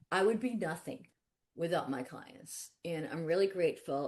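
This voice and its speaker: Lively intonation marks this woman's fairly low voice. She keeps a moderate pace. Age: 60s. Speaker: attorney. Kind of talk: webinar interview. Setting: webinar. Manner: animated.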